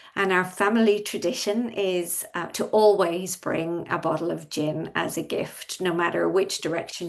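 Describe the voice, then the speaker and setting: Against noticeable background noise, a woman speaks with a fairly low pitch. Her pace is moderate and her pitch variation ordinary. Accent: Irish. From Ireland. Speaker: industry expert panelist. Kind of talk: panel discussion.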